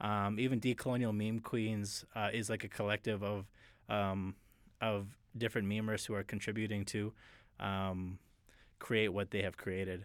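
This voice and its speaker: In a very clean recording with a silent background, a man with a Canadian accent talks at a moderate pace in a fairly low pitch, his intonation monotone and flat. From northeastern Alberta, Canada (Cold Lake First Nations). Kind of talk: interview. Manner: halting, many fillers.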